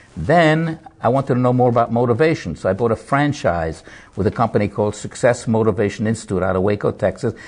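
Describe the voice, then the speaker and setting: A man at medium pitch and a very fast pace, his voice somewhat breathy. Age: 70s. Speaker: motivational speaker and Holocaust survivor. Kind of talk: TV interview. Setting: TV studio.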